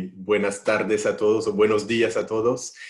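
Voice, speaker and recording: At a moderate pace, a man talks in a medium pitch with a French accent. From France. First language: French (speaking Spanish). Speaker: risk consultant. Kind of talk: self-introduction. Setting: video call. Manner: hesitant, repeats words.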